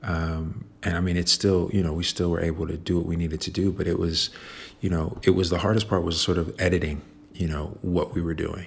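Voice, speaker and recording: A man with a Chicago accent, very deep and low in pitch, somewhat breathy, flat and monotone, at a fairly quick pace. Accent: Chicago American. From Chicago, South Side. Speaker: visual artist. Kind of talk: interview. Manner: halting, many fillers and repetitions.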